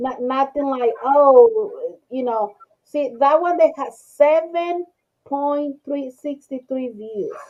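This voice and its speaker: A woman's high voice with a strong non-native accent, lively intonation and a very slow pace. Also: big swings in loudness. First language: not English. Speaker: crochet video creator. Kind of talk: casual group chat. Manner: halting, repeats words.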